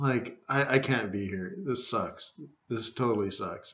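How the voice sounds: A man at a fairly slow pace, fairly low in pitch, with a fairly bright tone and ordinary pitch variation.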